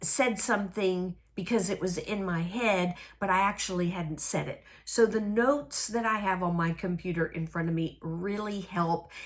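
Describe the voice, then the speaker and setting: With a Southern US accent, a woman talks at a fairly slow pace with ordinary pitch variation. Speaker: crafting video host. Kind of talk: casual crafting chat to camera. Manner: hesitant with many fillers.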